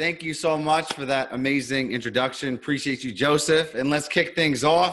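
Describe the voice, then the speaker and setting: With a New York accent, a man speaks in a fairly high, bright, sharp, energetic tone. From New York, Queens. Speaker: business coach. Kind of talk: presentation on video call. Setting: video call.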